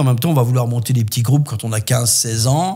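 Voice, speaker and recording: Against noticeable background noise, a man speaks at medium pitch with ordinary pitch variation. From southwest France (Landes). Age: 60s. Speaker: voice actor and musician. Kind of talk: podcast interview, life story.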